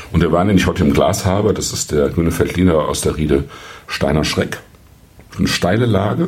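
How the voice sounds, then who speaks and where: With long, frequent pauses, a man speaks at a very deep, low pitch and ordinary pitch variation. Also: fairly quick pace. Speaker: wine podcast host. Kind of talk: solo wine review monologue. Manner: hesitant with frequent fillers.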